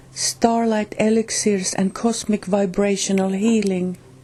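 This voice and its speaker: A somewhat breathy woman with a Finnish accent, speaking at a fairly slow pace. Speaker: channel host reading a spiritual book. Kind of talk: reading aloud; casual introduction. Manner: halting, with restarts.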